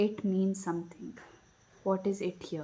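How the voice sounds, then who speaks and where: A woman speaks in a soft-spoken way. Her voice is somewhat breathy. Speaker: spiritual self-help video creator. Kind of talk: reflective guided talk. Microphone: no microphone, less audible.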